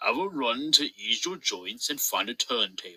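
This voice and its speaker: In a put-on character voice, a man speaks raised and projected at a moderate pace, his pitch fairly high, with a dry, close sound and no echo. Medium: read story. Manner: pompous.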